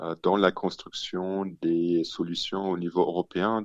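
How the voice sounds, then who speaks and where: Against a quiet background, a man with a very deep, low pitch speaks at a fairly slow pace in a monotone, flat intonation, the sound dry and close with no echo. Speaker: city official. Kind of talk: radio interview.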